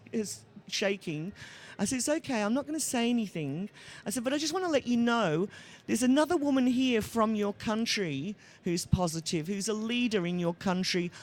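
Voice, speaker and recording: Pitched fairly high, a woman speaks with an Australian accent at a fairly quick pace. Her pitch swings very widely. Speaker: panel moderator, HIV activist. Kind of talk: panel discussion.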